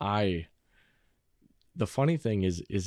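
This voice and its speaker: A fairly slow pace in a very clean recording with a silent background. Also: man. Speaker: actor. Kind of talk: casual interview chat.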